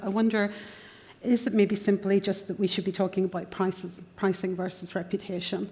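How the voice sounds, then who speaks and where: In a Northern Irish accent, a woman speaks at a medium pitch. Her intonation is monotone and flat. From Northern Ireland. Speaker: panel moderator. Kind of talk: conference panel discussion.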